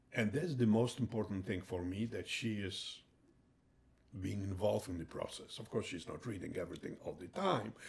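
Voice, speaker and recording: A somewhat breathy man with a Polish accent, fairly low in pitch, at a moderate pace with ordinary pitch variation. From Poland. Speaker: retired heart surgeon and author. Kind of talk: interview. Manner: halting.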